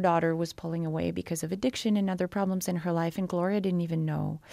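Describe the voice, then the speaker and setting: In a Quebec accent, a woman speaks with fairly even intonation at a fairly low pitch. The recording is very clean, with a silent background. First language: French. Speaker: novelist. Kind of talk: interview. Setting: studio.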